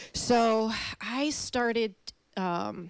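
This voice, with an American accent and ordinary pitch variation, comes through on a very clean recording with a silent background. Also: woman. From Chicago. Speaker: fitness instructor. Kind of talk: casual chat. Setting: studio.

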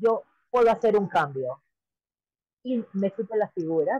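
Lively intonation marks this woman's ordinary speaking voice, pitched fairly high. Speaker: political candidate. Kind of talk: interview.

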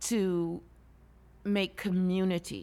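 At a very slow pace, a woman speaks with monotone, flat intonation. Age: 60s. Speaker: LGBTQ senior advocate. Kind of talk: interview. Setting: studio.

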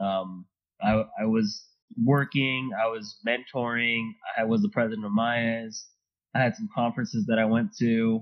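A man's medium-pitched voice at a moderate pace, monotone and flat. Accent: Californian. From Los Angeles, Southern California. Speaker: process engineer. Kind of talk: casual interview chat.

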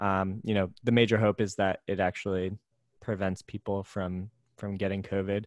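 In an American accent, a man with a fairly low pitch speaks in a flat monotone, his sound dry and close with no echo on a very clean recording with a silent background. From US, New Jersey, Pennsylvania and California. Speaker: accountant. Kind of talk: casual chat.

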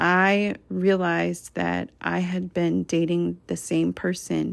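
The recording is very clean, with a silent background. A woman is speaking. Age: 30s. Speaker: podcast host and women's coach. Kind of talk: solo motivational monologue.

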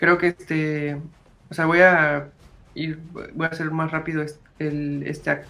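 Fairly slow and broken by long, frequent pauses, a man's fairly high voice has a bright, sharp tone and monotone, flat intonation. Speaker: podcast host. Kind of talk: casual chat. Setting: live stream.

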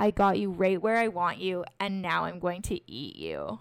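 A woman puts on a raspy, soft-spoken character voice at a medium pitch and a moderate pace.

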